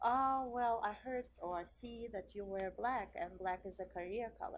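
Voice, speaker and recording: A woman with a non-native accent speaks at a fairly high pitch. Her pace is moderate and her pitch variation ordinary. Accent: foreign. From Central Asia, then Germany from age twelve. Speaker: interior designer. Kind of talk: interview.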